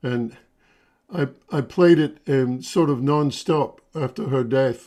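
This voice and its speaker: The voice has a dark, mellow tone and ordinary pitch variation over a quiet background. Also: man. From Scotland. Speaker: fiddler and violinist. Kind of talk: casual chat. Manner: halting, many fillers.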